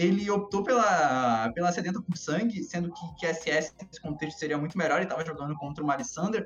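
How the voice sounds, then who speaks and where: Over music in the background, a man talks at a very fast pace in a fairly high pitch. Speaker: esports analyst. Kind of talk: casual chat. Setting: live stream.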